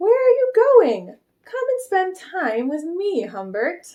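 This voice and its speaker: Doing a put-on character voice, a woman squeaks at an extremely high pitch with very wide pitch swings. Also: fairly slow pace. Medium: read story. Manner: gentle yet commanding.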